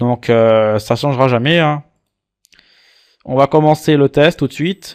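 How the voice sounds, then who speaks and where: In a very clean recording with a silent background, a man with a fairly high pitch speaks at a fairly slow pace with long, frequent pauses and ordinary pitch variation, the sound dry and close with no echo. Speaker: antivirus reviewer. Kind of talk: screen-recorded software tutorial. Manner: casual, playful.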